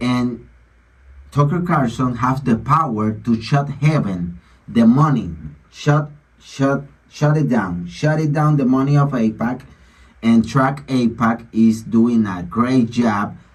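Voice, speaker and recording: A man with a non-native accent speaks at a very slow pace. His medium-pitched voice is somewhat breathy. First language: Spanish. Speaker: online commentator on religion and politics. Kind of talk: bible reading with commentary.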